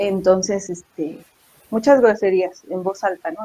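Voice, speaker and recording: At a fairly slow pace, a woman speaks at a medium pitch in an unremarkable speaking voice. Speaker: secondary school teacher. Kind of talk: interview answer, casual talk about teaching experiences.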